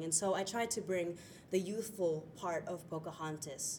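This voice, in an American accent, moves at a moderate pace with ordinary pitch variation. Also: woman. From Florida, US. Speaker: stage actor. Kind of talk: interview. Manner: hesitant with fillers.

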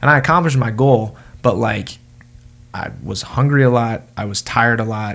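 A man speaks at medium pitch and a moderate pace in an ordinary speaking voice, with ordinary pitch variation. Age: 20s. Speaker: podcast co-host. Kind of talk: casual chat.

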